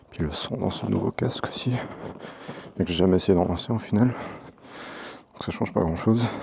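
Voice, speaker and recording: A man speaks at a moderate pace with a very deep, low voice. Noticeable background noise runs under the recording. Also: ordinary pitch variation. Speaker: motovlogger. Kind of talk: casual vlog. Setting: on a motorcycle, mic inside helmet.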